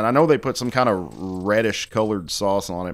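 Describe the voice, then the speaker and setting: Faint music plays behind a man who talks at a fairly quick pace with a fairly low pitch. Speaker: food reviewer. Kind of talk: casual review commentary. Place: home room. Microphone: studio mic.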